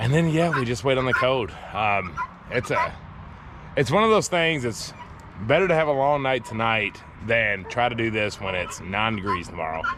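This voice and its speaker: Against noticeable background noise and audible room echo, a man talks at medium pitch with very wide pitch swings. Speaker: homesteader vlogger. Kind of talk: vlog narration. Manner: fast.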